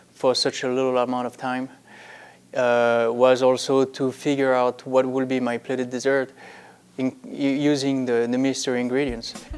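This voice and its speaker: Speaking in a French accent, a man delivers his words at a fairly slow pace and medium pitch with monotone, flat intonation. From France. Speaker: pastry chef. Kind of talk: interview. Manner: halting, with many fillers.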